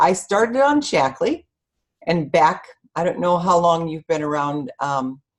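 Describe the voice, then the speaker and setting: A woman talks at a moderate pace, her fairly low pitch carried by lively intonation. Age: 60s. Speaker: network marketing distributor. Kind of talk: testimony. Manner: hesitant, many fillers and self-corrections.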